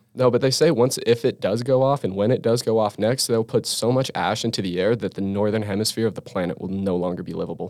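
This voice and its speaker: Against a very clean recording with a silent background, a man with an American accent speaks at a very fast pace with hardly any pauses, a medium pitch, and ordinary pitch variation. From rural Utah, Vernal. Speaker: geology student. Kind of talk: casual chat.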